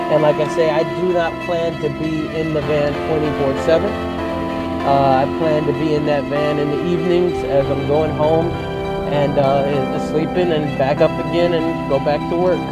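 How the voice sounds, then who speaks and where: A man at a fairly slow pace against loud background music, the sound dry with no echo. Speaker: vlogger, show host. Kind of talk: casual vlog chat. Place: car.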